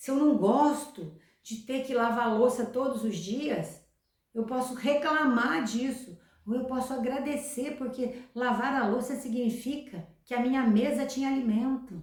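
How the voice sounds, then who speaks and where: Speaking at a fairly slow pace, a woman uses a high pitch with ordinary pitch variation. Audible room echo surrounds her voice. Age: 60s. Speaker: self-help youtuber. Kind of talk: motivational talk.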